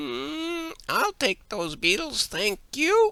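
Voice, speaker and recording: A man in a put-on character voice, extremely high-pitched, at a very slow pace. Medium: read story. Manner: smug, starts lines with a hum.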